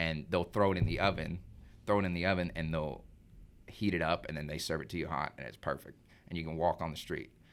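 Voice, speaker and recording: Vocal fry marks a man's very deep, low voice. He speaks at a very fast pace with ordinary pitch variation. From Arkansas, US South. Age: 20s. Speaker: young professional, son of host. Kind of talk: casual chat. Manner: casual, filler-heavy.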